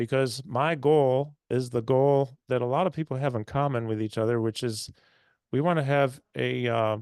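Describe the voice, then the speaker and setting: A man's normal speaking voice at medium pitch, fairly even in intonation and moderate in pace, with a dry, close sound free of echo and a quiet background. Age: 60s. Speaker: health and fitness doctor, radio host. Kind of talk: webinar presentation. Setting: online webinar.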